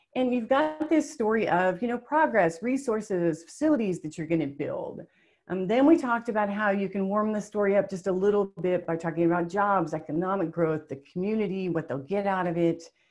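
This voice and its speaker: With an American accent, the speaker talks at a fairly quick pace with lively intonation and hardly any pauses, over a quiet background. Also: woman. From US small town. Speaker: webinar presenter. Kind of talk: webinar presentation. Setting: webinar. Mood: friendly, upbeat. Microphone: webcam.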